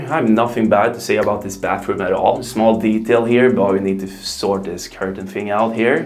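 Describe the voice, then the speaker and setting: Both audible room echo and noticeable background noise are present. The speaking pace is moderate. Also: man. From Sweden. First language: Swedish. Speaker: vlogger. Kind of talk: vlog. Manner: casual.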